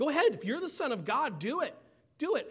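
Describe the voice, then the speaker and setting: Someone speaks in a high, put-on character voice. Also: fairly quick pace. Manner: sarcastic, taunting.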